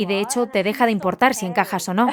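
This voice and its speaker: Intonation stays fairly even. Noticeable background noise can be heard. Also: woman. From England. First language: English (speaking Spanish). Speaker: nonprofit founder. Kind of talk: casual chat.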